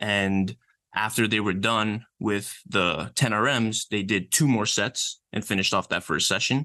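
The man has a fairly low pitch and a bright, sharp tone, speaking fairly slowly with ordinary pitch variation and very even loudness. The sound is dry and close with no echo, the background quiet. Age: 20s. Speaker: exercise science researcher and personal trainer. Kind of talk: casual interview.

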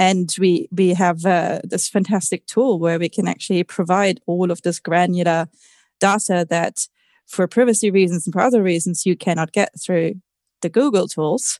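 Over a quiet background, a woman with an unremarkable speaking voice and medium pitch talks at a moderate pace with fairly even intonation, the sound dry and close with no echo. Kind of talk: technical panel discussion.

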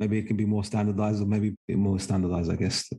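A man talks at a very fast pace in a fairly low pitch. His voice is somewhat breathy, with a dark, mellow tone. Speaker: podcast host. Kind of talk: interview conversation.

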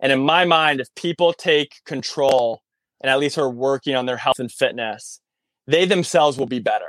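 In a dry, close sound with no echo, a man with an American accent has an unremarkable speaking voice, pitched fairly high with ordinary variation. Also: moderate pace. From Massachusetts, near Concord. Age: 30s. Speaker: military veteran and personal trainer. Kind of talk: casual interview. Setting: in his van, remote call.

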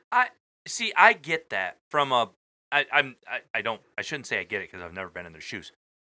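Bright and sharp, a man's fairly high voice moves at a fairly quick pace with vocal fry, very wide pitch swings and big swings in loudness. The recording is very clean, with a silent background. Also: dry, close sound with no echo. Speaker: co-host. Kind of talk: casual chat.

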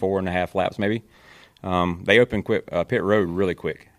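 A man with a very deep, low voice and a Southern US accent speaks in fairly even intonation, the sound dry and close with no echo and the recording very clean over a silent background. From North Carolina, Kannapolis. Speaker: NASCAR spotter. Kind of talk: casual chat.

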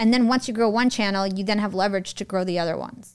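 A woman with an American accent has a plain, everyday voice at a medium pitch with ordinary pitch variation. The recording is very clean, and the background is silent. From United States. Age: 30s. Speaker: podcast entrepreneur. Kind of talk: interview.

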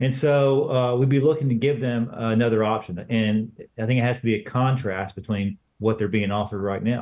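Here is a man with a plain, everyday voice at a medium pitch. He talks at a fairly quick pace with fairly even intonation. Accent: American. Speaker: former congressman, political organization director. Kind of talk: interview. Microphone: outdated computer, dropped connection.

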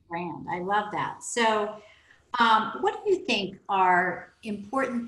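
A woman with an American accent speaks at a very slow pace. Her pitch varies in an ordinary way. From Oklahoma. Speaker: podcast host and business mentor. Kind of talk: interview.

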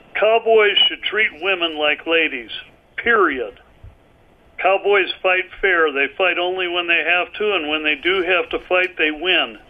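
Ordinary pitch variation marks this man's high-pitched voice. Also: fairly slow pace. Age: 70s. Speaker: author, martial arts teacher and rancher. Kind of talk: interview conversation. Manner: halting, many fillers.

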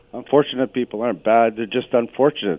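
A man speaks at medium pitch in an ordinary speaking voice. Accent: Canadian. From Canada, Sault Ste. Marie, Ontario. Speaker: caller. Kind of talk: radio call-in. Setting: phone call.

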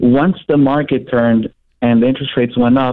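A normal speaking voice at a fairly quick pace with fairly even intonation. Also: man. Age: 20s. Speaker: mortgage broker. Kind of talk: phone call-in.

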